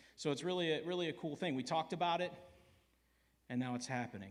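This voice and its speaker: Loud and very fast, a man speaks at a high pitch with lively intonation, with room echo audible. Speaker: church elder. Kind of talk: church family meeting.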